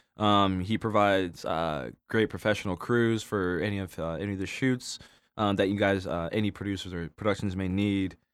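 On a very clean recording with a silent background, a man with an American accent speaks at a moderate pace, his fairly low voice holding a fairly even intonation. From Arizona, US. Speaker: cinematographer. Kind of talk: casual chat. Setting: recording studio. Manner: halting, many fillers.

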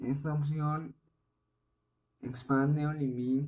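Very slow and monotone, a man speaks with a fairly high pitch, a dark, mellow tone, and a somewhat breathy quality. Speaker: podcast host, parent. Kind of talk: solo informational podcast monologue. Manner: careful, deliberate; hesitant, with repetitions.

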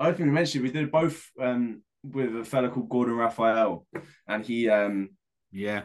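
At a moderate pace, a man with a London accent talks with ordinary pitch variation. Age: 20s. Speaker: indie band lead singer. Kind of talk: casual chat.

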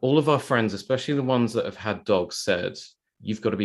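A man is speaking. He has a London accent. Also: very clean recording, silent background. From South London. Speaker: bespoke tailor and podcast host. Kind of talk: casual interview.

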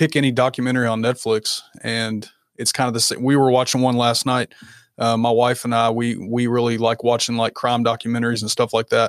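The recording is very clean, with a silent background and a dry, close sound with no echo. A man at a medium pitch speaks at a fairly quick pace in a monotone, flat intonation. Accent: slight Southern US. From Kentucky. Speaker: content creator and coach. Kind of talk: casual interview chat.

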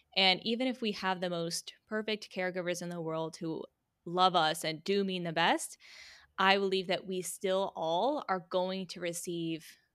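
Speaking in a plain, everyday voice, a woman with an American accent keeps a medium pitch and fairly even intonation. Her pace is fairly slow, on a very clean recording with a silent background. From Virginia. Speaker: healing mentor, former ballerina. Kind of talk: interview conversation.

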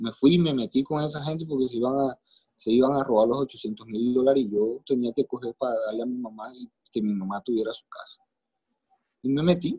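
Speaking at a fairly quick pace with ordinary pitch variation, a man with a medium-pitched, dark, mellow tone shows big swings in loudness in a dry, close sound with no echo. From Colombia, Caribbean coast (Maicao, La Guajira). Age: 40s. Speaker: podcast guest telling his life story. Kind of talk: personal testimony in interview.

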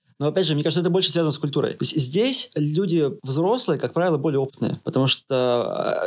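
Very fast speech from a man, fairly high in pitch with ordinary pitch variation. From Russia. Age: 30s. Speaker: IT product manager. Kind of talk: interview.

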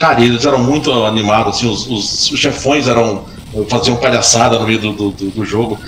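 Very fast speech from a man, with noticeable background noise and audible room echo. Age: 40s. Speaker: gaming podcast co-host. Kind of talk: casual chat.

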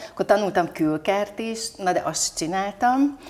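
The voice is a woman's. It varies in pitch in an ordinary way. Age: 50s. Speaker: business leader and women's leadership club president. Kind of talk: interview. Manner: animated.

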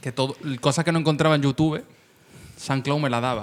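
Talking at a very fast pace, a man keeps his fairly high voice in fairly even intonation. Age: 30s. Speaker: rapper and online video comedian. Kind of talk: casual chat.

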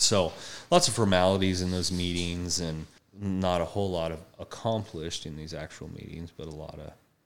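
Very deep and low, a man's voice keeps a moderate pace with fairly even intonation. His loudness swings widely. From Colorado. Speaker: horse trainer and army veteran. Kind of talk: interview.

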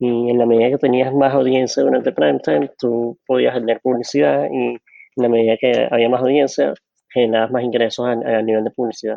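With a strong Venezuelan accent, a man speaks at a fairly quick pace with hardly any pauses, his medium pitch carrying lively intonation at very even loudness. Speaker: data analytics director. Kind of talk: interview.

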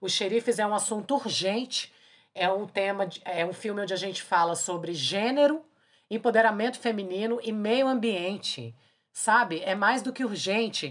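A woman with an unremarkable speaking voice talks at a moderate pace, her pitch medium with ordinary variation. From Brazil, Brasília. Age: 40s. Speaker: podcast host, singer and filmmaker. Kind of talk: casual chat.

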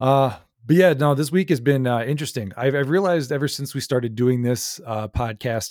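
A slightly mellow tone at a fairly quick pace, with fairly even intonation. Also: man, very clean recording, silent background.

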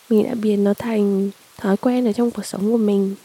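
A woman at a medium pitch is heard dry and close with no echo, over noticeable background noise. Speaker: podcast host. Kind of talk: casual personal monologue. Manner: rambling conversational.

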